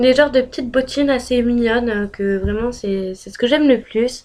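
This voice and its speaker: This is a woman speaking. Her pitch is high. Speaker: beauty and lifestyle youtuber. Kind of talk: casual vlog talk. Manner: hesitant, many fillers.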